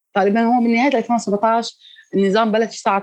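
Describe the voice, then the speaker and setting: A woman speaks with a Damascus accent. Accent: Damascene Syrian Arabic. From Syria, Douma (Damascus countryside). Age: 30s. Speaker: volunteer paramedic. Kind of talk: testimony.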